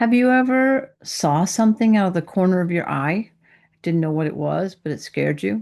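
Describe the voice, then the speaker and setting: A woman with a normal speaking voice talks at a moderate pace, fairly low pitch and lively intonation over a quiet background. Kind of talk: sermon-style Bible teaching to camera. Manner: conversational, friendly.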